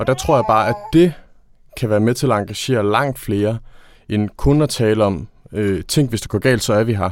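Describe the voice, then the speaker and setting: A man talks at a moderate pace. His pitch is medium and varies in an ordinary way. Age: 20s. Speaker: trade union consultant. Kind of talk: interview. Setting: studio.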